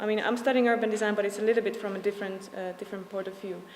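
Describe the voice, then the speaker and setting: A woman is talking at a fairly high pitch. Noticeable background noise can be heard. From Slovakia. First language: Slovak. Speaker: urban design student. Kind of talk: presentation. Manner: fast; halting, many fillers.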